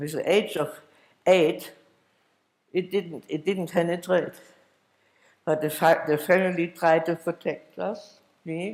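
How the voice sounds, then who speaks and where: Here a man speaks with a German accent at a high pitch. His delivery is very slow, with fairly even intonation. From Germany, Dresden. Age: 80s+. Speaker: Holocaust survivor. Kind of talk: testimony. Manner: halting.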